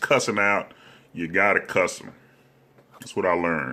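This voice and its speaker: A man speaks at a moderate pace. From US South, Alabama (Hobson City near Anniston). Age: 50s. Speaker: comedian. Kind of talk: comedic storytelling monologue. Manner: animated.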